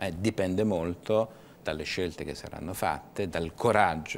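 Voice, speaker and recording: Over light background noise, a man talks at a moderate pace with a very deep, low pitch and ordinary pitch variation. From Tuscany, Livorno; Tuscany. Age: 50s. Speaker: business association director; guest. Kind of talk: TV interview. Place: studio.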